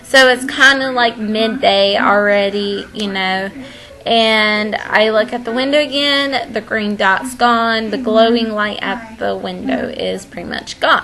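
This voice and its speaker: This woman talks fairly slowly in a fairly high voice with ordinary pitch variation, while noticeable background noise is present. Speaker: vlogger. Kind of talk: storytime monologue. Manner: casual, filler-heavy.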